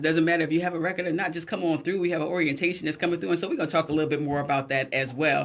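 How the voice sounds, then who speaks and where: On a very clean recording with a silent background, a woman speaks at a fairly low pitch with ordinary pitch variation. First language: Gullah. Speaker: radio talk show host. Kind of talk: casual live radio chat. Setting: radio studio, also streamed live. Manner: animated.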